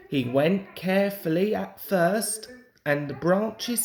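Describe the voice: With audible room echo, a man speaks slowly in a slightly mellow tone and lively intonation.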